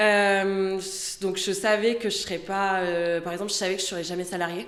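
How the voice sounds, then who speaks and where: At a moderate pace, a woman speaks at medium pitch in a monotone, flat delivery, with audible room echo around her. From southern France. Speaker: lawyer. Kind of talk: podcast interview.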